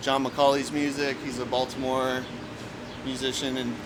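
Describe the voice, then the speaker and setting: In an American accent, a man talks at a medium pitch and a moderate pace, his intonation monotone and flat. Audible room echo and noticeable background noise fill the recording. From US Midwest (central Illinois). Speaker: indie rock musician. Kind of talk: casual interview. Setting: outdoors. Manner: halting, many fillers.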